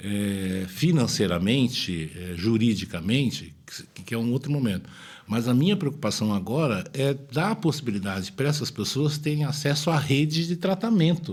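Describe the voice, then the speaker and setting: A man's somewhat breathy, medium-pitched voice moves at a moderate pace with very wide pitch swings. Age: 60s. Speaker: state politician. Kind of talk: interview. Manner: halting, repeats words.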